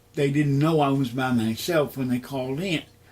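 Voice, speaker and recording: A man with an American accent speaks in a plain, everyday voice at a moderate pace with fairly even intonation. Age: 60s. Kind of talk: interview testimony. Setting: at home.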